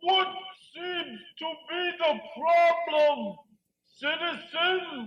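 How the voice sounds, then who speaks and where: An extremely high cartoonish character voice goes at a very slow pace, broken by long, frequent pauses. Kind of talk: live puppet show. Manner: grand, orotund.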